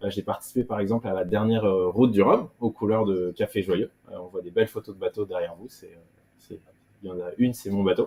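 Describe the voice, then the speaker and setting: Loudness swings widely as a man speaks at medium pitch and a fairly quick pace. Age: 30s. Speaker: offshore sailor. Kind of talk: interview. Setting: video call from home. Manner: hesitant, many fillers.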